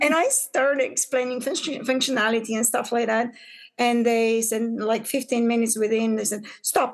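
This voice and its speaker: This woman talks at a moderate pace. Her voice sits high in pitch. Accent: Bulgarian. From Bulgaria. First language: Bulgarian. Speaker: business owner, pattern maker. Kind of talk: podcast interview. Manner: halting, many fillers.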